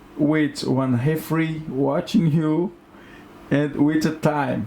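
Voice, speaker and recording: This speaker talks at a very slow pace with a Brazilian accent. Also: man, fairly high pitch for a man. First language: Portuguese. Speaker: jiu-jitsu gym owner and fighter. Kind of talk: casual podcast chat. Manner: animated.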